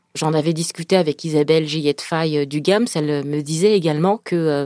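A woman's fairly low voice with ordinary pitch variation and an ordinary speaking voice, dry and close with no echo, on a very clean recording with a silent background. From France, Paris suburbs, Senegalese family. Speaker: author and speaker. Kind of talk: interview.

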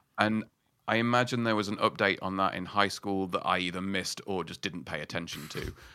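A bright, sharp tone with a Yorkshire accent, fairly quick and fairly even in intonation, on a very clean recording with a silent background. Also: man, fairly low pitch for a man. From northern England, Yorkshire mining town. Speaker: writer and podcaster. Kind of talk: casual interview chat.

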